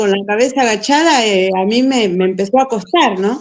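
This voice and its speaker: Here a woman talks with a Buenos Aires accent at a moderate pace. Her pitch is fairly high and her intonation lively. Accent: porteño Argentine Spanish. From Buenos Aires, Argentina. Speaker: missionary teacher. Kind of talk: casual chat.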